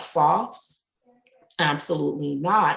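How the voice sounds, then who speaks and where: A woman speaks with a Jamaican accent at a very deep, low pitch. Vocal fry runs through her voice. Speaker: resilience and diversity coach. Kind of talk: interview conversation. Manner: loud.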